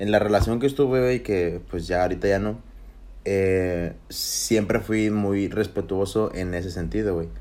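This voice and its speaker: A man's fairly low-pitched voice, dark and mellow in tone, at a fairly slow pace. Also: ordinary pitch variation. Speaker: podcast co-host. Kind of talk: casual chat. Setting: livestream on Facebook. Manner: loud.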